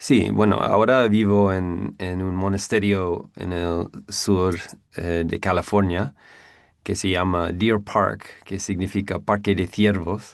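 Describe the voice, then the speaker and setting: In a very clean recording with a silent background, someone with an English accent speaks very slowly with fairly even intonation. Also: man, very deep, low pitch for a man. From US Northeast, near New York. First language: English (speaking Spanish). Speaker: Buddhist monk. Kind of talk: interview. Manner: halting, many fillers.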